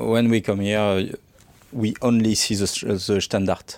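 Fairly even intonation at a moderate pace, in a strong French accent. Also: man. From France. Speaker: podcast host. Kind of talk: scripted intro; interview. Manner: loud.

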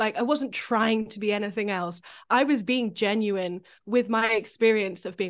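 A woman in a British accent, fairly high-pitched, with ordinary pitch variation, a moderate pace and a quiet background. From UK. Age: 30s. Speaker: composer. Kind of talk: casual chat.

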